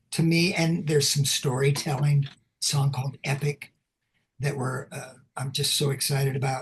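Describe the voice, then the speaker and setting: A man's fairly high, somewhat breathy voice at a fairly slow pace. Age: 70s. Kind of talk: interview. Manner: animated.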